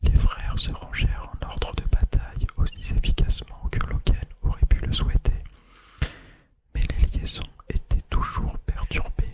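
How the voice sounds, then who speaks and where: A man is whispering. His pace is fairly slow. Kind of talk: novel reading. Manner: halting.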